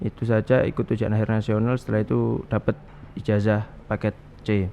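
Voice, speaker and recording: A man with a dark, mellow tone and fairly low pitch speaks at a fairly quick pace, his intonation monotone and flat and his loudness very even. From East Java, Pasuruan. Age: 20s. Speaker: young Islamic cleric. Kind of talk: talk show interview.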